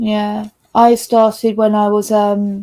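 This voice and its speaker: A woman with a British accent, a fairly high pitch and monotone, flat intonation. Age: young. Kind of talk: casual chat.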